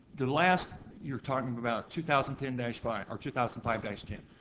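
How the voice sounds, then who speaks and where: In an American accent, a man speaks at a medium pitch. His pitch varies in an ordinary way, and room echo can be heard. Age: 60s. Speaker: county council member. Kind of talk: public meeting debate. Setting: council meeting.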